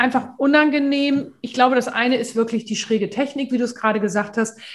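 A woman's high-pitched voice at a fairly quick pace, with fairly even intonation. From northern Germany, Hamburg. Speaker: voice coach. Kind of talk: casual chat.

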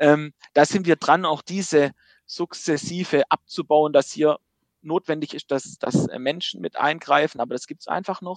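A man speaks at a fairly slow pace with a fairly high pitch and ordinary pitch variation, his voice dry and close with no echo. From Baden-Württemberg. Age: 30s. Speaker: insurance company managing director. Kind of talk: interview.

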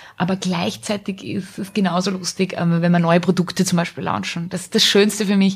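At a moderate pace, a woman speaks in a somewhat breathy voice of medium pitch with fairly even intonation. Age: 30s. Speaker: small business owner. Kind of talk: casual interview. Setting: studio.

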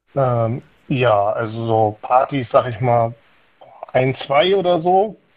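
Speaking at a very slow pace, a man leaves long, frequent pauses. His medium-pitched voice has lively intonation. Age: 30s. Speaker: caller. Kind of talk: casual chat. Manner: halting.

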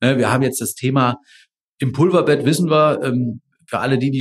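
The pace is very fast. A man delivers it at a medium pitch. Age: 40s. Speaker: engineering professor. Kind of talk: interview. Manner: hesitant fillers (äh, ähm).

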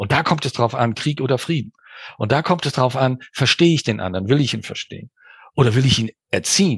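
Over a quiet background, a man at medium pitch speaks fairly quickly and somewhat breathily, with ordinary pitch variation and a dry, close sound free of echo. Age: 60s. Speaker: business coach and mediator. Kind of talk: interview. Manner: animated.

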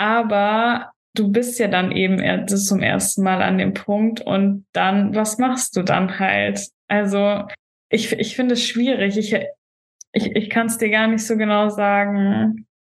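Speaking very slowly in a monotone, flat intonation, a woman with a medium pitch keeps her loudness very even. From Germany, Stuttgart. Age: 20s. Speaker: bodybuilding stage athlete. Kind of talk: casual podcast interview.

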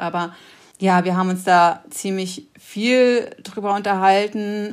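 A woman talks at a medium pitch with monotone, flat intonation. The recording is very clean, and the background is silent. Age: 40s. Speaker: climate activist and designer. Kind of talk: interview.

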